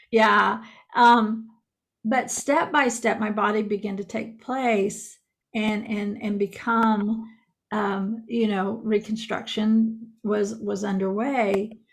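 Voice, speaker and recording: The woman's voice is somewhat breathy, with monotone, flat intonation. She speaks at a very slow pace. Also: fairly high pitch for a woman. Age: 60s. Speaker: podcaster and author. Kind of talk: casual chat.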